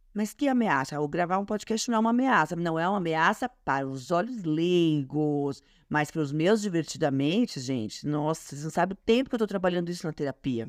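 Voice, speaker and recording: Against a quiet background, a woman talks at a fairly quick pace with hardly any pauses. Her fairly low voice moves through very wide pitch swings. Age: 30s. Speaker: podcast host. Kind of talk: casual solo podcast talk. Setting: home studio. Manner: fast.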